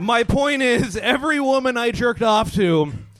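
A man with an American accent at a high pitch, fairly slow pace and ordinary pitch variation, music in the background. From US Southwest. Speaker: stand-up comedian. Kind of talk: stand-up. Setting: stage with audience.

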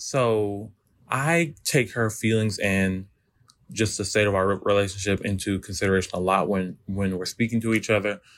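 A man with a plain, everyday voice, fairly low in pitch, at a moderate pace with ordinary pitch variation, in a very clean recording over a silent background. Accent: American. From US Midwest. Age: 20s. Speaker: listener asking for advice. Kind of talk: recorded voice message.

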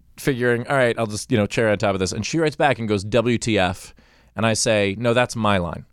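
A man talks at a very fast pace with a New York accent. His pitch sits in the medium range. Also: ordinary pitch variation, very clean recording, silent background. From Queens, New York. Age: 40s. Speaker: comedian.

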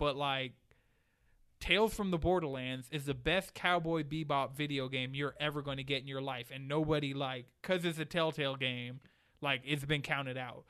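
Here a man talks with an American accent at a moderate pace. He has an ordinary speaking voice. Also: fairly high pitch for a man, fairly even intonation. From Atlanta, US South. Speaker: gaming podcast host. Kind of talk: casual chat. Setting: studio.

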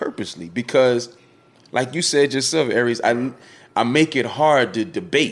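At a moderate pace, a man speaks in an animated tone at a medium pitch. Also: ordinary pitch variation. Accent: East Coast US. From West Philadelphia with early years in Georgia. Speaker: former radio promoter and online commentator. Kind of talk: casual interview chat.

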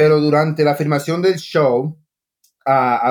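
The sound here is dry and close, with no echo. It belongs to a man. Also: very clean recording, silent background. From Costa Rica until age 8, then US (Long Island). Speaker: chef. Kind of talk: interview. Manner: halting.

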